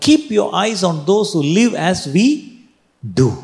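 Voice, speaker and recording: With a Keralan accent, the voice moves at a moderate pace through very wide pitch swings. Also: man. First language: Malayalam. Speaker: pastor. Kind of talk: sermon. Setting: church.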